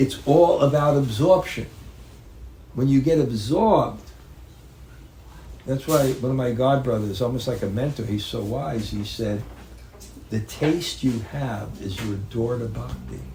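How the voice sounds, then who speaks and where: Pausing long and often, a man with an American accent talks at a fairly slow pace in a medium-pitched voice with ordinary variation, with audible room echo around him. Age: 70s. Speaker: spiritual teacher. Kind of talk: religious talk. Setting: home gathering with audience. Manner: halting.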